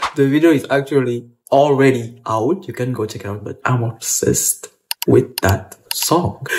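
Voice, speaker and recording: This man talks at a moderate pace with a medium pitch and ordinary pitch variation. His loudness swings widely. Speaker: YouTuber reviewing a TV show. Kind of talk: casual vlog chat. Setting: at home. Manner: talking quietly.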